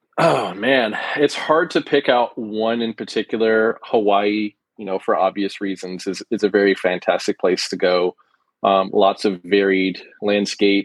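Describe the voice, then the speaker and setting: Against a quiet background, a man with an American accent and a plain, everyday voice speaks at a fairly slow pace, fairly low in pitch, with ordinary pitch variation. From US Pacific Northwest. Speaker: sports photographer. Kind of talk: interview. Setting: podcast guest.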